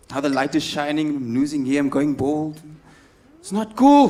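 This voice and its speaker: A man's animated tone at a moderate pace, with ordinary pitch variation and noticeable background noise. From South Africa, Cape Town. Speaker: stand-up comedian. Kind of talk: stand-up. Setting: stage with audience.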